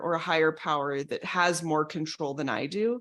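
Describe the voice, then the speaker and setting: Here a woman talks at a moderate pace in a plain, everyday voice with ordinary pitch variation. The recording is very clean, with a silent background. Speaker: betrayal recovery coach. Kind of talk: educational talk.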